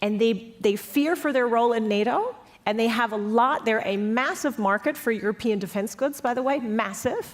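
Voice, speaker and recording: With an American accent, a woman talks at a moderate pace and fairly high pitch in an animated tone, with ordinary pitch variation, hardly any pauses and very even loudness. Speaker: panelist on European security policy. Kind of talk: panel discussion.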